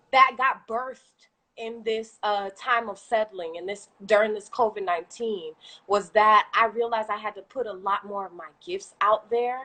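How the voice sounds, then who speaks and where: A woman's bright, sharp, fairly high voice, with ordinary pitch variation and big swings in loudness. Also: moderate pace. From Haitian heritage. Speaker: small business owner, fitness and food creator. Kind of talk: casual interview on a livestream. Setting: live video stream. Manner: animated.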